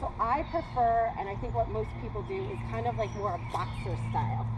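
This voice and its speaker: A woman is heard over noticeable background noise, with audible echo in the room. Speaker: combat martial arts instructor. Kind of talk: class instruction. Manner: fast.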